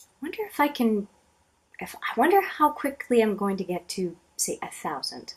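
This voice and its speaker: Speaking at a moderate pace, a woman uses a high voice with very wide pitch swings and big swings in loudness. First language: French. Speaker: book reviewer and video blogger. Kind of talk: casual talk to camera.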